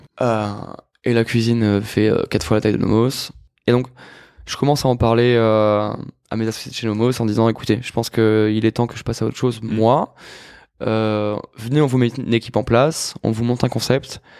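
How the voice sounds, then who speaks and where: In a very clean recording with a silent background, a man talks at a moderate pace in a monotone, flat intonation, with long, frequent pauses. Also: medium pitch for a man. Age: 30s. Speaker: chef and restaurateur. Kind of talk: casual interview conversation.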